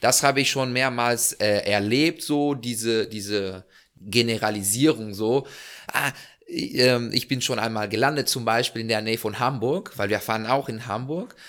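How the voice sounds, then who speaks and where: Using an ordinary speaking voice, a man talks at a fairly slow pace and medium pitch with ordinary pitch variation. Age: 20s. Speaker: hot air balloon pilot. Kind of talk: casual interview chat.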